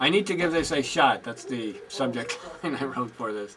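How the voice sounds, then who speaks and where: Lively intonation runs through a man's medium-pitched voice. Noticeable background noise is present. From Puerto Rican. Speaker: spoken word artist and radio DJ. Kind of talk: casual documentary interview talk.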